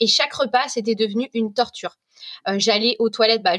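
Fairly high in pitch, a woman talks in a plain, everyday voice. Her intonation stays fairly even at a moderate pace. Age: 30s. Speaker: food blogger. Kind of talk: casual chat.

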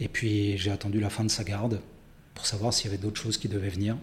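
Somewhat breathy, a man rushes along at a very fast pace. His intonation stays monotone and flat. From France. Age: 50s. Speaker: army officer. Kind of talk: testimony.

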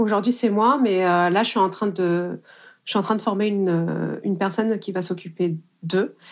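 A woman with an unremarkable speaking voice talks at a medium pitch with fairly even intonation on a very clean recording with a silent background. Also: moderate pace. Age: 30s. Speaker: wedding photographer. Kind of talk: interview.

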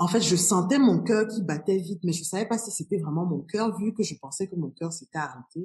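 The voice is dark and mellow, somewhat breathy, moving at a fairly quick pace with ordinary pitch variation. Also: woman. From Cameroon. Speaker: business strategy consultant. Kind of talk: interview conversation.

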